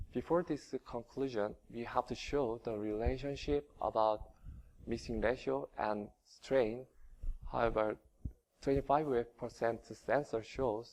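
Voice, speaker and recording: This man speaks at a fairly slow pace with a Korean accent. His pitch is medium and moves in an ordinary way. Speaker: engineering researcher. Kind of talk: conference presentation. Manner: halting, many fillers.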